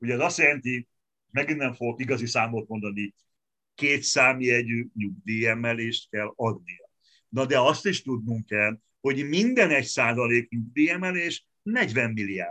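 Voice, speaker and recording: In a normal speaking voice of medium pitch, a man talks at a fairly slow pace with ordinary pitch variation. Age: 60s. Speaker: economist and opposition politician. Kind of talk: interview.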